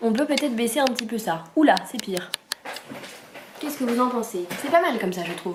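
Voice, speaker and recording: Noticeable background noise and audible room echo surround a woman speaking at a high pitch. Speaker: vlogger. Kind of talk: casual vlog talk to camera. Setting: at home. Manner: animated; fast.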